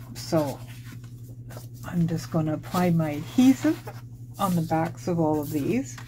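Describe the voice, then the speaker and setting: Somewhat breathy, a woman with a very deep, low pitch and a dark, mellow tone talks at a fairly slow pace. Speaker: papercraft tutorial maker. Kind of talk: tutorial.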